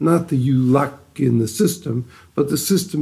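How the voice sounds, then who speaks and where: With an American accent, a man speaks fairly slowly in a dark, mellow, somewhat breathy tone with ordinary pitch variation. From US, Detroit. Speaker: rabbi and head of yeshiva for at-risk youth. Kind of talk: interview.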